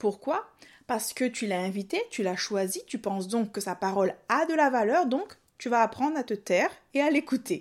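The woman's fairly high voice comes through a very clean recording where the background is silent. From Réunion. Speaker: video journalist and podcast coach. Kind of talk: tutorial.

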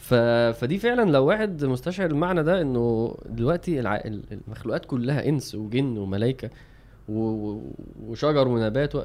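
This man has an unremarkable speaking voice, medium in pitch. He talks at a moderate pace with lively intonation. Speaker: religious podcast co-host. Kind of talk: casual chat.

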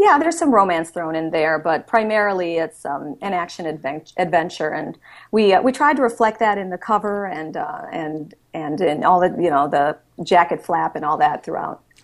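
In an unremarkable speaking voice, a woman with an American accent speaks at a moderate pace, her fairly low pitch carrying lively intonation. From Wisconsin, Milwaukee. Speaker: author and TV reporter. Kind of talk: interview.

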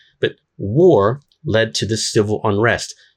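Over a quiet background, a man of medium pitch talks with lively intonation in a plain, everyday voice. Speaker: YouTuber. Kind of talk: monologue commentary. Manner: casual, with fillers.

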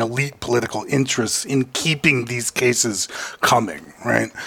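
Background noise can clearly be heard. Over it, a man talks at a moderate speed. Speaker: lawyer. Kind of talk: casual chat.

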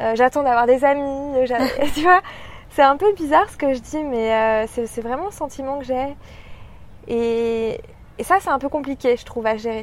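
A woman's high voice at a moderate pace, with ordinary pitch variation, big swings in loudness, and long, frequent pauses. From France, Paris. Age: 20s. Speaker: marketing professional, expatriate. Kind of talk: interview. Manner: hesitant, many fillers.

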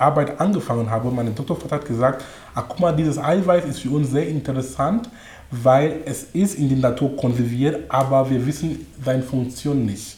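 Talking with a non-native accent, a man keeps a medium pitch, ordinary pitch variation and a moderate pace. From Cameroon. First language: not German (speaking German). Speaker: coach and speaker. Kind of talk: interview.

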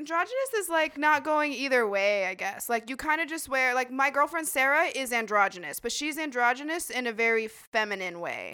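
In a raised, projected voice with a bright, sharp tone, a high-pitched woman with an American accent talks at a fairly quick pace with lively intonation, on a very clean recording with a silent background. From Idaho. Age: 20s. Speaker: medical assistant and phlebotomist, former server. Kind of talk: casual chat. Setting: studio podcast recording, drinking wine.

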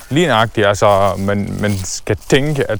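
A man speaks at a fairly slow pace in a fairly low pitch. His intonation is lively. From Syria (Damascus), Palestinian family. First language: Arabic (speaking Danish). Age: 20s. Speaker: entrepreneur. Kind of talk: casual interview. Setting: outdoors walking in a forest. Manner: halting with many fillers.

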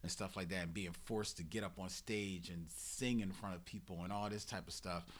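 With a very deep, low pitch and vocal fry, a man in an American accent talks at a fairly quick pace, with ordinary pitch variation and hardly any pauses. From Philadelphia, Germantown. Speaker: podcaster. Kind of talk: casual chat. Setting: studio.

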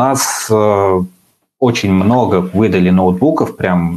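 A man talks with fairly even intonation at a very deep, low pitch. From Uzbekistan. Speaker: software development manager. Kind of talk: podcast interview. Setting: video stream.

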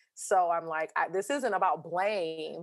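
The recording is very clean, with a silent background. A woman talks in a fairly low voice with ordinary pitch variation. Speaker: parenting content creator. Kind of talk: casual chat. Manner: loud.

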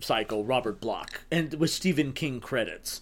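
The speaker is a man with an American accent. His intonation is lively. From Texas, El Paso. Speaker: horror screenwriter. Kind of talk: casual chat. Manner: halting.

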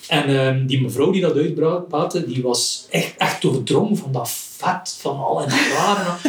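A man speaks over noticeable background noise. Room echo is audible as well. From West Flanders, Belgium (Rumbeke). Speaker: cartoonist. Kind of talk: casual chat. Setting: at home.

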